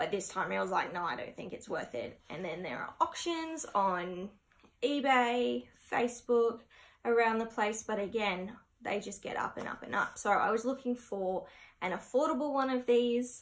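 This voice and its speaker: This speaker has an Australian accent. The pace is moderate and the intonation lively. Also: woman. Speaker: plant collector and video creator; video creator. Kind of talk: casual vlog haul. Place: home room. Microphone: camera far.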